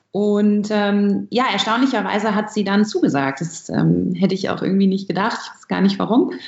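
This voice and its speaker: A woman's somewhat breathy, medium-pitched voice at a moderate pace, with ordinary pitch variation, big swings in loudness, hardly any pauses and audible room echo. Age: 20s. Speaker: barista and coffee roaster. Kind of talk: interview.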